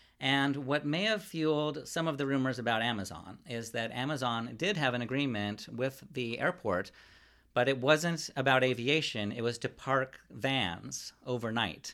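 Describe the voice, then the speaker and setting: A man's bright, sharp tone with lively intonation at a moderate pace, on a very clean recording with a silent background. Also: medium pitch for a man. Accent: Californian. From Ventura County, California. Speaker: newspaper reporter. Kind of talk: interview.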